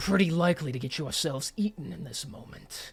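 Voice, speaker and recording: At a fairly quick pace, a man puts on a character voice with fairly high pitch. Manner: menacing, taunting.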